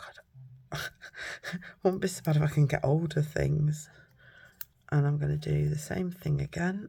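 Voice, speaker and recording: Speaking at a moderate pace with a British accent, a woman leaves long, frequent pauses, and her loudness swings widely. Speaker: papercraft demonstrator. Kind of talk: crafting tutorial. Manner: casual, thinking aloud.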